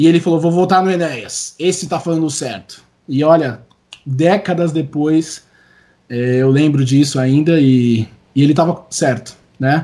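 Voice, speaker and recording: At a fairly slow pace, a man talks in a fairly high voice with a dark, mellow tone and ordinary pitch variation. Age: 30s. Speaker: singer and songwriter. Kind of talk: interview conversation.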